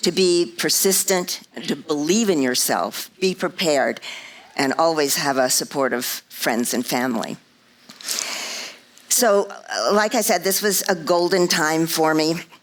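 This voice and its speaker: Someone with an American accent speaks at a fairly slow pace with lively intonation, very even loudness, and long, frequent pauses, over noticeable background noise. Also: woman, fairly low pitch for a woman. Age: 70s. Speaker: motivational speaker, former Broadway dancer. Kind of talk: inspirational talk.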